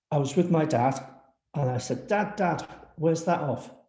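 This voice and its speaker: The voice is somewhat breathy with a dark, mellow tone and a Liverpool accent, moving at a fairly slow pace amid audible room echo. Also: man. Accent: Liverpool (Scouse). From Liverpool, England. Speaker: housing and regeneration professional. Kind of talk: panel talk with slides.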